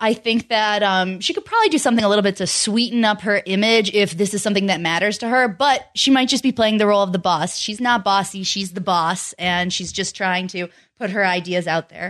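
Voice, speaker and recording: A woman's normal speaking voice at a medium pitch and fairly quick pace, with ordinary pitch variation against a quiet background. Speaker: podcast co-host. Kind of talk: casual chat.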